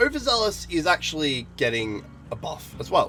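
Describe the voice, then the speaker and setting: A man speaking with music in the background. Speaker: gaming commentator. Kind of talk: casual talk to camera.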